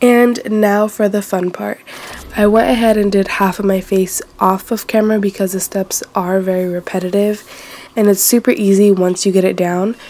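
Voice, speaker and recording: Amid noticeable background noise, a woman speaks at a moderate pace in a medium pitch with monotone, flat intonation. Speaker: beauty vlogger. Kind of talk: makeup tutorial talk to camera. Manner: casual, chatty.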